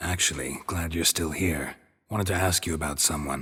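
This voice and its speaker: A man's put-on character voice, very deep and low, with a deadpan tone and moderate pace. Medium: video game. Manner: dry, terse, deadpan.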